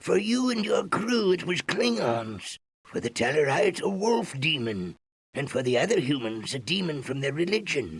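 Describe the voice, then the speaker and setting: In a put-on character voice, a man talks at a moderate pace, his fairly high pitch swinging very widely. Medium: video game. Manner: formal, solemn.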